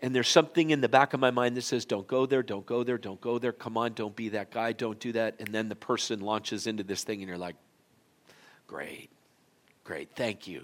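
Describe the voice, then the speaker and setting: A man talks at a medium pitch and a fairly quick pace in an unremarkable speaking voice, with ordinary pitch variation. His loudness swings widely in a very clean recording with a silent background. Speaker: pastor. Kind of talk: sermon. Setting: church.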